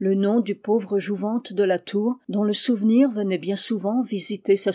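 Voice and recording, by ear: Reading aloud in a natural voice with fairly even intonation.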